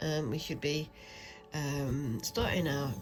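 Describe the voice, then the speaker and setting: With music in the background, a woman speaks in an English accent at a moderate pace. Her pitch is very deep and low. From London, England. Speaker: crafting YouTuber. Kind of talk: casual chat while stitching. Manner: hesitant, many fillers.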